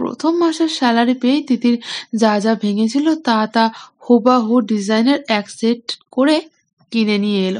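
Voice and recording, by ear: Over a quiet background, the speaker is reading aloud in a natural voice.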